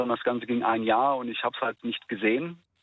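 A man at a very fast pace, medium pitch and fairly even intonation. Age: 20s. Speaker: caller. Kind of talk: phone-in call. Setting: phone call. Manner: clear, not mumbling.

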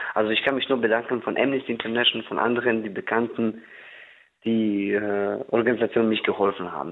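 Fairly quick and fairly even in intonation, a man talks at a fairly low pitch in an unremarkable speaking voice. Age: 20s. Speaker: caller, recognised refugee. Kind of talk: phone-in conversation.

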